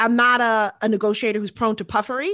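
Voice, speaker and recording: Against a quiet background, a woman with an American accent and an unremarkable speaking voice talks at a fairly quick pace and a fairly high pitch. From New York City, Queens. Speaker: spirits company CEO. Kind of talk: interview.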